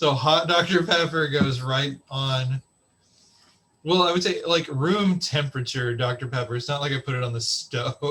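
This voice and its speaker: Bright and sharp in tone, a man with an American accent speaks at a fairly high pitch and a moderate pace with ordinary pitch variation. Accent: slight Texan, shows now and again. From Texas. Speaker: podcast host. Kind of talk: casual chat.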